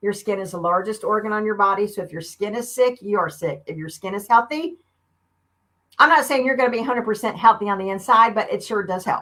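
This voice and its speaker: Her pitch sits fairly high, and her tone is bright and sharp. The woman speaks with an American accent at a fairly quick pace, her intonation lively. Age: 50s. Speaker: beauty consultant. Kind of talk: live stream sales demo. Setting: live video stream. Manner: animated.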